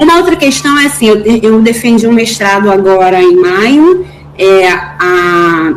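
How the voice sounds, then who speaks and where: Through noticeable background noise and audible room echo, a woman speaks with very wide pitch swings. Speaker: course participant, teacher. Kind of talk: class discussion. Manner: halting, repeats words.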